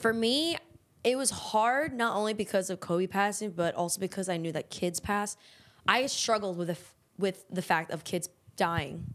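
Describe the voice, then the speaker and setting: A woman's unremarkable speaking voice with an American accent, moderate pace and ordinary pitch variation, in a very clean recording with a silent background. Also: medium pitch for a woman. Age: 20s. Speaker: podcast co-host. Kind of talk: casual chat.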